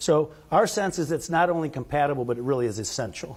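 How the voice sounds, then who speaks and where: Lively intonation from a man at a fairly quick pace. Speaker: physician and medical director presenting research. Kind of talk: conference presentation. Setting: conference room with live audience. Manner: soft-spoken; halting, many fillers and restarts.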